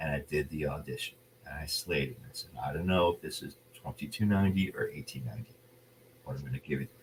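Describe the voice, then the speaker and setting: A man speaks very fast with a very deep, low pitch and vocal fry. His intonation is lively, and his loudness swings a lot. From New Jersey. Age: 40s. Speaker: actor. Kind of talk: casual interview.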